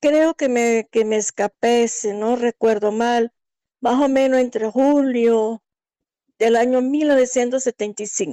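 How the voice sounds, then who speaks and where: A woman speaks at a high pitch in a dark, mellow tone, with fairly even intonation and very even loudness. Her pace is fairly slow, and the sound is dry and close with no echo. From Angola. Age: 60s. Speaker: migrant sharing her life story. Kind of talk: interview testimony.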